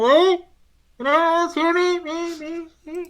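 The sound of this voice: An extremely high-pitched put-on character voice at a moderate pace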